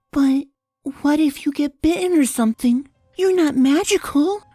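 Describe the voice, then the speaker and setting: A put-on character voice, high-pitched with a timid tone. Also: moderate pace. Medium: read story. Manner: timid, soft.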